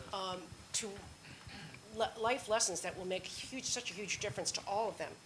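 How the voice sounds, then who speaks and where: A woman with a medium pitch and ordinary pitch variation talks at a moderate pace over noticeable background noise. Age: 70s. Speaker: panel moderator. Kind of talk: panel discussion.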